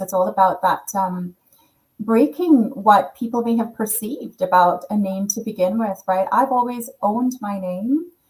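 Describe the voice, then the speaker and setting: Her pitch is fairly high, with ordinary variation. The woman sounds somewhat breathy and keeps a moderate pace. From Caribbean. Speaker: panel moderator. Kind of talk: panel discussion.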